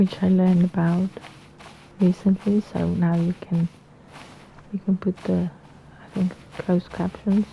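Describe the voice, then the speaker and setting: Against noticeable background noise, a woman at a medium pitch speaks fairly slowly with monotone, flat intonation. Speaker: gaming YouTuber. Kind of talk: let's play commentary. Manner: halting, repeats words; casual, chatty.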